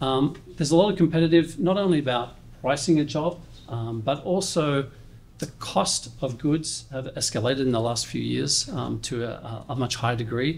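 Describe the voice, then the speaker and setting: A man with a New Zealand accent speaks at a moderate pace, his fairly high pitch showing ordinary variation and some vocal fry. Room echo is audible. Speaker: industry presenter. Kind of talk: conference presentation. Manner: halting, many fillers.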